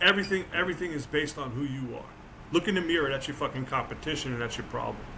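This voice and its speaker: An animated voice with an American accent races along at a very fast pace with ordinary pitch variation. Room echo is audible, and background noise is noticeable. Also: man, fairly high pitch for a man. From New Jersey. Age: 60s. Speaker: author and motivational speaker. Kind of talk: casual chat.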